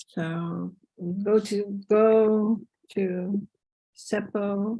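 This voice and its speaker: A woman speaks very slowly at a medium pitch, somewhat breathy. Her tone is dark and mellow. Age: 60s. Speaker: conference presenter, teacher trainer. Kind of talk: webinar presentation. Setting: video call. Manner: informal.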